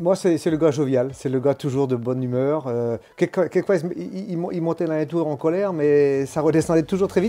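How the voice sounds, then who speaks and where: A man speaks at a fairly quick pace with hardly any pauses, his pitch fairly high and his tone dark and mellow. His pitch varies in an ordinary way. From Brittany, France. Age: 60s. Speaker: former amateur cyclist. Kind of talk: interview. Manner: halting.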